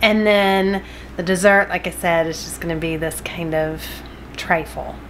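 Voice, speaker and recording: A woman's voice with light background noise. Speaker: home cooking vlogger. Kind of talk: casual vlog chat. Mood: cheerful, smiling. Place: kitchen. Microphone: phone near.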